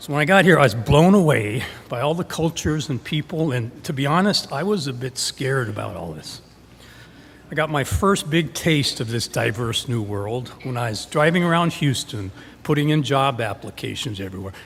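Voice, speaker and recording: A man speaks at a moderate pace with a fairly high pitch. His voice is somewhat breathy, and his intonation is lively. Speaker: storyteller. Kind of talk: live storytelling performance. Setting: live stage.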